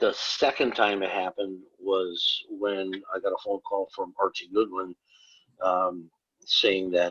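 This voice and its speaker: A man with an Upper Midwest accent talks fairly slowly at a fairly low pitch. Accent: Upper Midwest American. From northern Wisconsin. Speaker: comic book artist. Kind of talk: casual interview chat.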